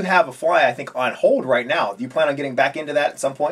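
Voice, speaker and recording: A man talks very fast, his pitch varying in an ordinary way. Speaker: fly tying instructor. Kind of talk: tutorial host interview. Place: home room. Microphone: camera far.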